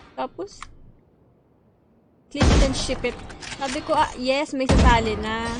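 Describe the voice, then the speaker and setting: A woman speaks with a high pitch and an animated tone, with ordinary pitch variation. Her pace is fairly slow, broken by long, frequent pauses. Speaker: gaming streamer. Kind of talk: live gaming stream chat. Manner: soft-spoken; casual, animated.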